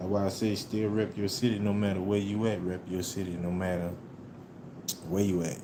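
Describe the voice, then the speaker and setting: With an American accent, a man talks at a fairly low pitch and a fairly quick pace in a monotone, flat intonation, with audible room echo. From New Orleans, US South. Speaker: livestreamer. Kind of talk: casual live stream chat. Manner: laid-back, casual.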